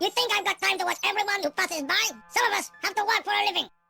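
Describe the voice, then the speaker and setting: A squeaky, put-on character voice at a very fast pace, with music in the background. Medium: video game.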